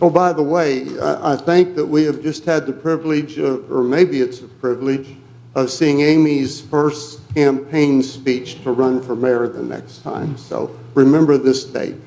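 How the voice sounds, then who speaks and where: A man with a fairly high pitch and a dark, mellow tone speaks with fairly even intonation and hardly any pauses, amid audible room echo. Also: fairly slow pace. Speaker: resident speaking at public hearing. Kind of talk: public comment at council meeting. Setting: city council meeting. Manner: soft-spoken.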